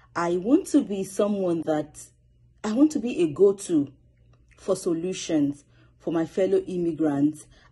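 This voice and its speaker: A woman's somewhat breathy voice in a Nigerian accent, dark and mellow in tone, with lively intonation and long, frequent pauses over a quiet background. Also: fairly slow pace. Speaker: student public speaker. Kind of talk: self-introduction video. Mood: earnest, motivated. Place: home room. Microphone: phone near.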